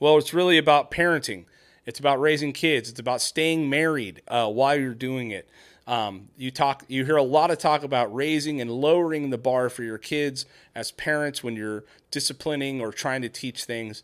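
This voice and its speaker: A man with a plain, everyday voice and fairly high pitch talks at a moderate pace with ordinary pitch variation and big swings in loudness, in a very clean recording with a silent background. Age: 40s. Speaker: parenting podcast host, construction worker. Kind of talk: casual chat.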